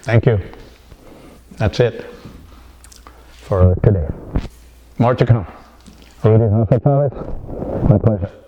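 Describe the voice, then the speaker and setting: Over noticeable background noise, a man with an American accent talks at a very slow pace with long, frequent pauses, his medium pitch showing ordinary variation. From California. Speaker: writer and poet. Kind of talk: interview answer. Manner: casual, hesitant.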